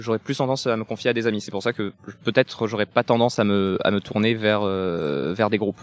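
A man with a plain, everyday voice, fairly low in pitch, at a fairly quick pace and with fairly even intonation, in a dry, close sound with no echo. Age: 30s. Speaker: morality teacher interviewed in street vox pop. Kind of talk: street interview.

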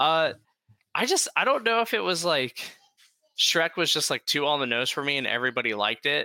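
A man with an American accent speaks at a fairly quick pace in a fairly high voice, his pitch swinging very widely. His tone is bright and sharp, the loudness very even, and the sound dry and close with no echo. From Ohio (Dayton). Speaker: podcast host, guest. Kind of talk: casual chat. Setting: video call.

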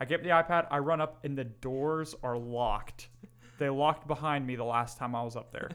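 A man with a fairly high pitch and an ordinary speaking voice talks at a moderate pace with fairly even intonation. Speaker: podcast co-host. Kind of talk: casual chat.

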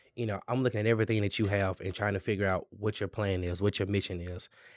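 In a very clean, dry, close recording with a silent background and no echo, a man talks very fast at a fairly low pitch with monotone, flat intonation. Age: young. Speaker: small business lender, former banker. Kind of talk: casual interview. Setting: in person at a local venue.

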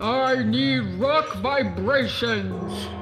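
A man booms in a put-on character voice over clear background noise. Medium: audio drama.

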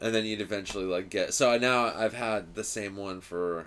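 A man with an American accent speaks in a normal speaking voice at a moderate pace, his medium pitch showing ordinary variation. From US West, Los Angeles suburbs. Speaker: stand-up comedian. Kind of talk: casual chat.

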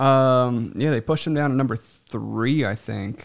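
At a fairly slow pace, a man with a plain, everyday voice speaks at a medium pitch with ordinary pitch variation. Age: 20s. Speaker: podcast host. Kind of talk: casual chat.

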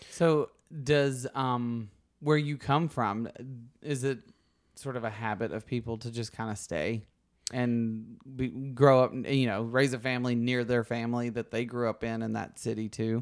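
With a Southern US accent, a man speaks at a fairly slow pace with fairly even intonation and a medium pitch, in a very clean recording with a silent background. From US South, Alabama. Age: 30s. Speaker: podcast host. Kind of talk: casual interview chat.

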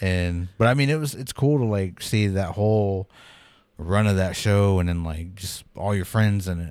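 An unremarkable speaking voice, this man talks at a moderate pace with a fairly low pitch, ordinary pitch variation, and an American accent, on a very clean recording with a silent background. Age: 30s. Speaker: podcast host. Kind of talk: casual chat. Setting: studio.

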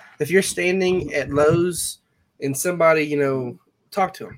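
A man with an ordinary speaking voice, a fairly quick pace and fairly even intonation. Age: 20s. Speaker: young farmer. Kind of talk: casual chat.

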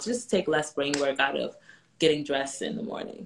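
Her voice is very deep and low, a woman speaking with an American accent. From New York. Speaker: personal stylist for moms. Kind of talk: casual chat.

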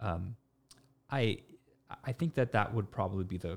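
A man with a Canadian accent and a normal speaking voice talks at a fairly quick pace and fairly low pitch in a very clean recording with a silent background. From Canada, Toronto. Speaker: social media influencer and business co-owner. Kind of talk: casual chat. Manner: repeats words often.

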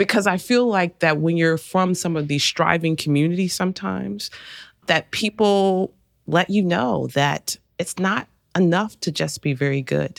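A woman's plain, everyday voice, fairly low in pitch, at a moderate pace with lively intonation, dry and close with no echo, on a very clean recording with a silent background. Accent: American. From Arkansas, US South. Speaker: college president and podcast host. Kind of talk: interview conversation.

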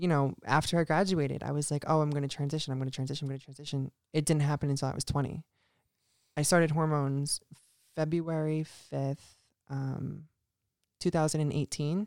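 Speaking with an American accent, the voice leaves long, frequent pauses, and the recording is very clean with a silent background. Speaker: guest. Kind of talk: casual interview.

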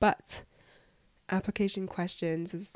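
In an English accent, a woman talks at a fairly slow pace with a medium pitch, a monotone, flat intonation and a dark, mellow tone, and the very clean recording has a silent background and a dry, close sound with no echo. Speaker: podcast host, student. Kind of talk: casual Q&A monologue.

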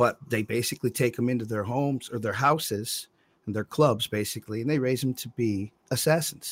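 With an ordinary speaking voice, a man talks at a medium pitch and a fairly quick pace, his intonation fairly even. The sound is dry and close with no echo, on a very clean recording with a silent background. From US Midwest, Monroe, Michigan. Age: 40s. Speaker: record producer. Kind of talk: casual chat.

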